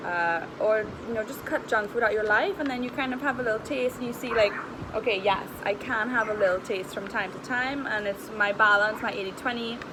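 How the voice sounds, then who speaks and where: A woman with a fairly high pitch and ordinary pitch variation talks at a fairly quick pace, with audible room echo and noticeable background noise. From Trinidad. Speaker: nutritionist and wellness coach. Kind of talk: casual vlog chat. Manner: casual, conversational.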